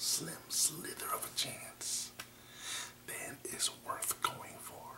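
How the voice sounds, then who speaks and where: A man whispers in a calm tone at a very slow pace. Noticeable background noise runs beneath him. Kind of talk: ASMR affirmation talk to camera. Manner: soft, calm, encouraging.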